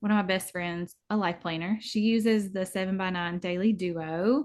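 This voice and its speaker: Against a quiet background, a woman speaks with a strong Southern US accent. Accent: thick Southern US. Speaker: planner YouTuber. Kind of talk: casual chat.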